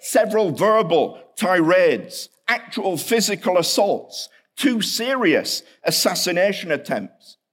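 A man speaks with a British accent. His pitch is high. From England, Hull. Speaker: seminary professor, historian. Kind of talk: chapel lecture.

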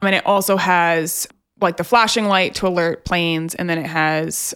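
On a very clean recording with a silent background, a woman with a plain, everyday voice speaks at a moderate pace, fairly low in pitch, with fairly even intonation. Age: 20s. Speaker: podcast co-host. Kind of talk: casual chat.

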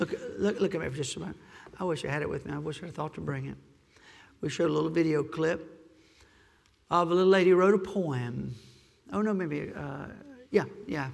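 Amid audible room echo, the speaker talks fairly quickly with vocal fry and long, frequent pauses. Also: man, fairly high pitch for a man, ordinary pitch variation, big swings in loudness. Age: 50s. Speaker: pastor. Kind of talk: Sunday morning Baptist-style sermon, expository preaching with congregational asides. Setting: church pulpit with PA system and congregation. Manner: impassioned, urgent exhortation with rhetorical questions and call-and-response 'Amen?'; conversational, self-deprecating humor breaking into earnest pleading.

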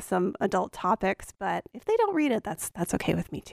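A woman with an American accent speaks at a fairly quick pace in a normal speaking voice, her medium pitch recorded dry and close with no echo on a very clean track with a silent background. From Appalachian Virginia. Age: 30s. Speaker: novelist and English professor. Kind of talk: interview. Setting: radio studio.

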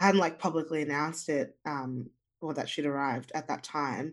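A woman speaks in an Australian accent at a moderate pace. Her pitch is very deep and low. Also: quiet background. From Zimbabwe, raised in Australia. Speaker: singer-songwriter. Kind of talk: casual interview chat.

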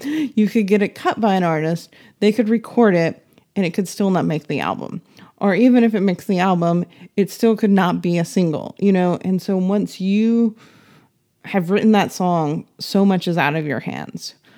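In a very clean recording with a silent background, a woman with a dark, mellow tone speaks at a medium pitch and moderate pace with ordinary pitch variation. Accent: American. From US South, Nashville, Tennessee. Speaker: music publisher and artist manager. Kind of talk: interview conversation.

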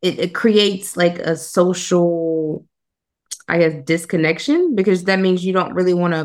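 In a normal speaking voice, a woman speaks at a moderate pace with fairly even intonation and a fairly low pitch. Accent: American. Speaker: podcast host. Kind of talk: casual interview.

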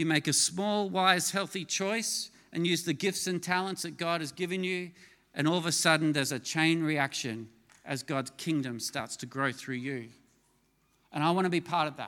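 On a very clean recording with a silent background, a man with a fairly high pitch and a bright, sharp tone speaks at a moderate pace with ordinary pitch variation. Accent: Australian. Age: 50s. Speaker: pastor. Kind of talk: sermon.

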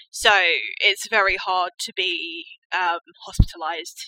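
The woman speaks in a southern English accent with a bright, sharp tone. The sound is dry and close, with no echo. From rural Hampshire, southern England. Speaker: mental health campaigner. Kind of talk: interview.

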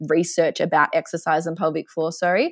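Speaking fairly quickly with an Australian accent, a woman has a fairly low pitch in a very clean recording with a silent background. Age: 20s. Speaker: physiotherapist. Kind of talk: casual interview.

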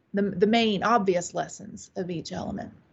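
A woman speaks with an American accent at a medium pitch. Her voice is somewhat breathy and her pace is moderate. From US South, upstate South Carolina. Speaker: witchcraft author and priestess. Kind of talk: interview.

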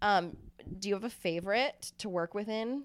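This woman has an unremarkable speaking voice. Her pace is moderate and her pitch variation ordinary. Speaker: podcast host. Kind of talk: casual banter, hosting a podcast. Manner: playful, upbeat, teasing.

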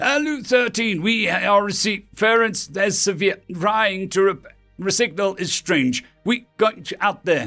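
Using a put-on character voice, a man speaks slowly with few pauses, at a high pitch with lively intonation and a bright, sharp tone, as faint music plays in the background.

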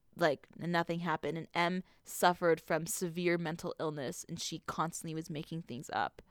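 A woman speaks with an unremarkable speaking voice at a fairly low pitch. The recording is very clean, with a silent background and a dry, close sound with no echo. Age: 20s. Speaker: podcast co-host. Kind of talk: casual chat.

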